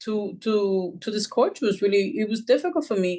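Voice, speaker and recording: A woman with a Puerto Rican accent speaks at a fairly high pitch. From Puerto Rico, moved to New York at eleven. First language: Spanish. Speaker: school social worker and author. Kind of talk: interview. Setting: podcast.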